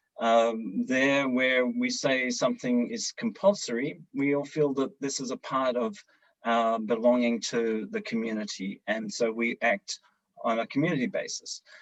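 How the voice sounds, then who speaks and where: A man at a fairly slow pace, in a dry, close sound with no echo. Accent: Australian. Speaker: service club leader. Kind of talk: panel discussion. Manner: hesitant, many fillers.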